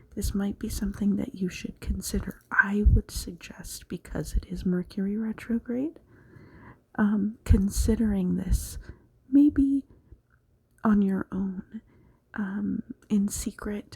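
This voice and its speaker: Whispering and soft-spoken, a woman talks at a very slow pace with long, frequent pauses. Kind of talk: tarot reading. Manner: whispered, soft-spoken.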